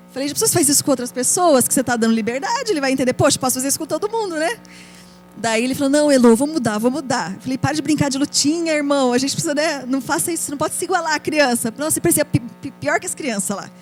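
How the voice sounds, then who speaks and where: Over music in the background, a woman with a high pitch talks at a very fast pace, her tone animated and her intonation lively. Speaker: children's ministry leader. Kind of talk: conference talk.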